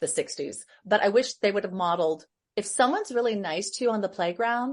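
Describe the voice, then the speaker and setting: A woman talks at a fairly quick pace in a medium pitch, with ordinary pitch variation, an unremarkable speaking voice and a quiet background. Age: 60s. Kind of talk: casual chat.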